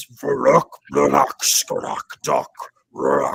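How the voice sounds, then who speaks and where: A man's booming, growling, put-on character voice. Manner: shouting.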